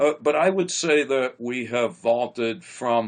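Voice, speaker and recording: An ordinary speaking voice talks at a fairly slow pace against a quiet background. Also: man. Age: 60s. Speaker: psychologist. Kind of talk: interview conversation.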